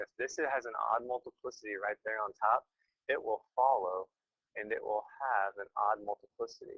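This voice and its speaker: Recorded with a dry, close sound with no echo, a man speaks at a moderate pace. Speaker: math teacher. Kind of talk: lecture. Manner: casual.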